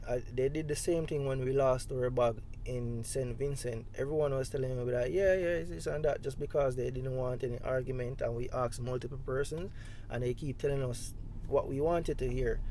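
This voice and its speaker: A man's dark, mellow voice at a fairly quick pace with fairly even intonation, heard with audible room echo. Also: medium pitch for a man. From Jamaica. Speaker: travel vlogger. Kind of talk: storytelling monologue. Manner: casual, conversational.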